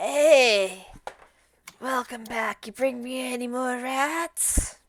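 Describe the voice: A female-sounding voice puts on a gruff, high-pitched character voice and drags each word out at a very slow pace.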